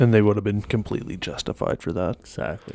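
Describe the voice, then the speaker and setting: A man's very fast, deadpan delivery with vocal fry, fairly low pitch and a dark, mellow tone. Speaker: guest on podcast. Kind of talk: casual banter chat. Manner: deadpan, joking.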